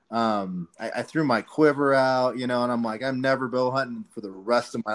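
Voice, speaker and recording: In an American accent, a man with an ordinary speaking voice talks at a moderate pace, with medium pitch and ordinary pitch variation, over a quiet background. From southern Colorado. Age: 30s. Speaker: hunting podcast host. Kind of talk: casual chat.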